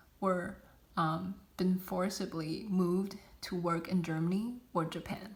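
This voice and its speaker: The woman's voice is somewhat breathy, and she speaks at a very slow pace. Audible room echo surrounds her. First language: not English. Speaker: student. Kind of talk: class presentation. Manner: halting, many fillers.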